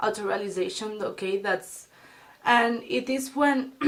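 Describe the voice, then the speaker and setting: Her pitch sits fairly high, and it varies in an ordinary way. The woman keeps to a fairly slow pace. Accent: Spanish. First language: Spanish. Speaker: beauty and self-help vlogger. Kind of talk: casual advice vlog. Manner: halting, many fillers and restarts.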